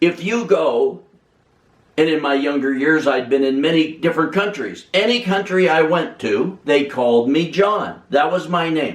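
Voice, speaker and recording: The intonation is lively and the pitch fairly high. It is a man with an ordinary speaking voice. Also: moderate pace. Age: 60s. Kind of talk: personal testimony.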